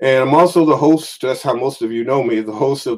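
A man talks in an ordinary speaking voice. His pitch varies in an ordinary way at a moderate pace. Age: 50s. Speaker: metaphysical minister and lecturer. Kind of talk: online lecture sermon. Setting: livestream with slides.

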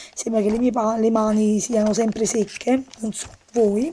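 A woman speaking at a fairly slow pace. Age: young. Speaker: beauty vlogger. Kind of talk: casual product presentation to camera. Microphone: phone near.

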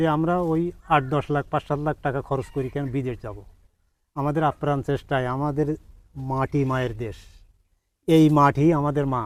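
A man with an unremarkable speaking voice talks at a fairly high pitch with fairly even intonation. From Bangladesh, Satkhira. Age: 60s. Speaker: date palm farmer, former migrant worker. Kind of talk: interview.

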